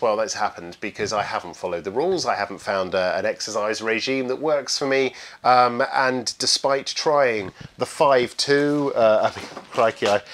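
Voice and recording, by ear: With few pauses, the voice moves at a moderate pace, its fairly bright tone showing ordinary pitch variation. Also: man, fairly low pitch for a man.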